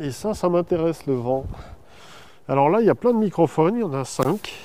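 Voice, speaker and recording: Lively intonation and a dark, mellow tone from a man at a fairly high pitch. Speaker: nature sound recordist. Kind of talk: documentary field explanation. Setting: outdoors.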